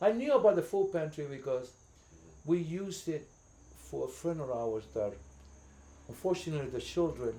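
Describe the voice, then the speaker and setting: Long, frequent pauses break up this man's speech, delivered at a moderate pace. His voice is fairly high-pitched with a dark, mellow tone and lively intonation. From New York City, the Bronx. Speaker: community volunteer. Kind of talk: casual interview. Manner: halting, repeats words.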